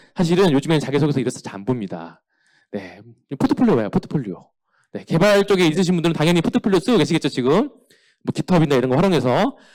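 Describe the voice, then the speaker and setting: A man with a fairly high pitch and vocal fry races along at a very fast pace with very wide pitch swings, on a very clean recording with a silent background. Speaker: company CEO giving a career seminar. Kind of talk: lecture.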